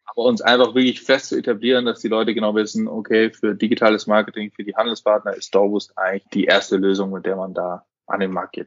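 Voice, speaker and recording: Rattling along at a very fast pace with hardly any pauses, a man speaks in a fairly low, monotone, flat voice. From Munich, Bavaria, Germany. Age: 20s. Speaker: startup founder and managing director. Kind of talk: business podcast interview.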